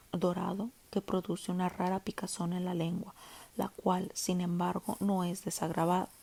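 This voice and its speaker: Speaking in a Latin American accent, a woman with a medium pitch and a dark, mellow, somewhat breathy tone talks at a fairly slow pace. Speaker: audiobook narrator. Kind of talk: audiobook reading. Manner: minimalist, plain reading.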